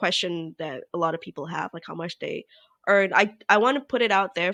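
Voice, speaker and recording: A woman with a medium-pitched, bright, sharp voice speaks with ordinary pitch variation in a dry, close sound with no echo against a quiet background. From Malaysia. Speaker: gaming streamer. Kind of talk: interview conversation. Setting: podcast interview. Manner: loud; animated.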